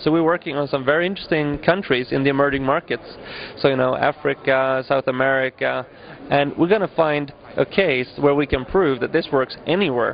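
A man talks rather quickly, his intonation fairly even, with light noise in the background. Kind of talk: interview answer. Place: hall. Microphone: handheld.

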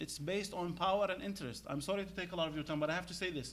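This man, speaking with an Arabic accent, has a high-pitched voice. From Iraq. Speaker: Arabic literature scholar and poet; poet. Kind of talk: panel talk. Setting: stage with audience. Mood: earnest, insistent. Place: hall.

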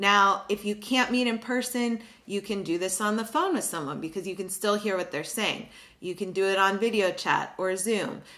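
Bright and sharp in tone, a woman speaks at a moderate pace with ordinary pitch variation. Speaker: education channel host. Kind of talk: tutorial. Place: home room.

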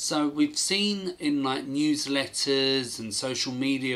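In a British accent, a man talks at a very slow pace. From UK. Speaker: gaming YouTuber. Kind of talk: video commentary. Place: home room.

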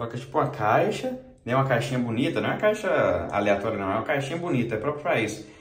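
A man's very fast speech with audible room echo. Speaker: vlogger. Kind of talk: casual vlog chat. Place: bathroom. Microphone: phone near.

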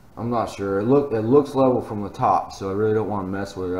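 A man speaks with ordinary pitch variation, with light background noise and audible room echo. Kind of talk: casual build vlog commentary. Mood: relaxed, thinking aloud. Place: garage. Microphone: phone near.

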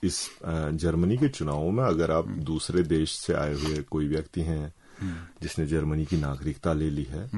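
A man's very deep, low voice, dark and mellow in tone, at a moderate pace. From Uttarakhand, Kumaon (Bageshwar, Lohaghat); Uttarakhand. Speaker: journalist. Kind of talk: radio interview. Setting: radio studio. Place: studio.

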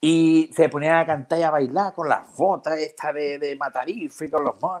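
Against a quiet background, a man speaks at a moderate pace. His pitch variation is ordinary. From Jerez de la Frontera, Andalusia, Spain; Andalusia, Spain. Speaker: comedian. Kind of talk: casual chat. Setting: video call. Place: home room. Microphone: earbuds.

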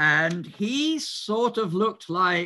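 A man's bright, sharp tone comes through over a quiet background. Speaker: speaker. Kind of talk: lecture. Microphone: video call.

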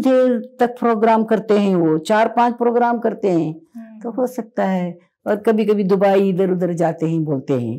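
Against a quiet background, a woman with a dark, mellow tone talks at a fairly slow pace with ordinary pitch variation. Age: 70s. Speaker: patient sharing testimonial; interviewee. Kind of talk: interview testimony. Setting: at her home. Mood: warm, appreciative. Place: home room. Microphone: lapel.

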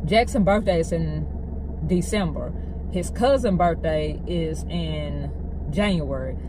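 A woman speaks at a fairly slow pace with long, frequent pauses, in a Southern US accent. The sound is dry with no echo, and noticeable background noise runs behind her. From Arkansas. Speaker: vlogger, stay-at-home mom. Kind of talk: angry rant, venting to camera about family conflict. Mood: angry, frustrated. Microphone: phone near.

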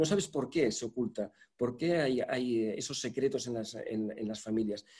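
A man speaks with a dark, mellow tone and lively intonation. The background is quiet. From Spain. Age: 60s. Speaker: journalist and interviewer; journalist, interviewer. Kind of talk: literary conversation. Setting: online event. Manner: halting. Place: home room. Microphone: video call.

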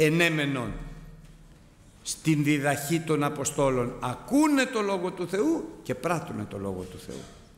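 In a room with audible echo, a man with a fairly high pitch speaks at a fairly slow pace. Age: 60s. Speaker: preacher. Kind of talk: sermon. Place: church. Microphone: podium.

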